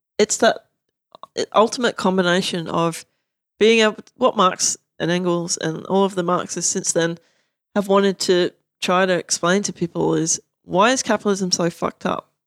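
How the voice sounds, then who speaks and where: The speaker goes at a moderate pace with fairly even intonation. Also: woman. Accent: Australian. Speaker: academic and activist. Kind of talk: casual chat.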